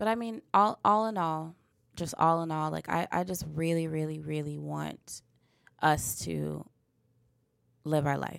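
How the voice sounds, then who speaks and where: The delivery is fairly slow, broken up by long, frequent pauses. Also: woman. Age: 20s. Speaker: podcast host. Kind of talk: casual chat. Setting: studio. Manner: halting.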